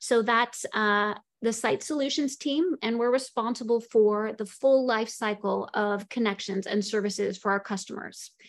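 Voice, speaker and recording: A woman's moderate-paced speech with an American accent and hardly any pauses, over a quiet background. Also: ordinary pitch variation. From Seattle, US. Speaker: network engineering lead. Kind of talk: panel presentation. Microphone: video call.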